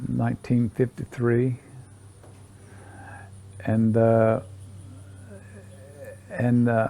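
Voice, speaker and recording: In an American accent, a man speaks very slowly in a dark, mellow tone, his intonation monotone and flat, with long, frequent pauses. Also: medium pitch for a man. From Southern West Virginia. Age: 80s+. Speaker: retired coal miner. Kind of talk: interview answer.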